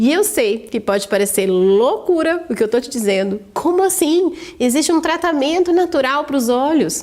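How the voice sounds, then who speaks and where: At a moderate pace and with hardly any pauses, a woman speaks in a high pitch with very wide pitch swings and very even loudness. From interior of São Paulo state, Brazil. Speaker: vision training instructor. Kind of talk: sales pitch.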